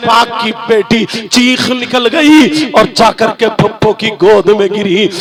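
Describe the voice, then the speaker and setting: With noticeable background noise behind him, a man speaks at an extremely high pitch. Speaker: Islamic preacher. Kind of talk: religious sermon to a night gathering. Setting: outdoor public gathering, live.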